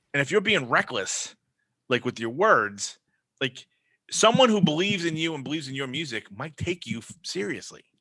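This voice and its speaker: A man's fairly high voice with very wide pitch swings, big swings in loudness, and a moderate pace. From Brooklyn, New York. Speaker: podcaster and band member. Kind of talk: casual chat interview. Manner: rambling, self-deprecating.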